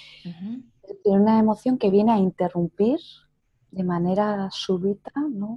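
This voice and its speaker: The voice is somewhat breathy and moves at a moderate pace. Its pitch variation is ordinary. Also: woman. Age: 40s. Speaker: psychotherapist. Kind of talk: interview.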